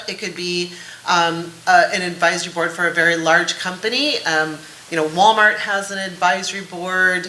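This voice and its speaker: A woman speaks over noticeable background noise, with audible room echo. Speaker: executive, board placement organization founder. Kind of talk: panel discussion. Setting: conference stage with audience. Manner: fast.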